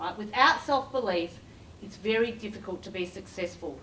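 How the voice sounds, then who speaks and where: The voice has lively intonation and an animated tone, heard over noticeable background noise. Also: woman. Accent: Australian. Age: 50s. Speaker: recruiter and career coach. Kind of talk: corporate keynote talk.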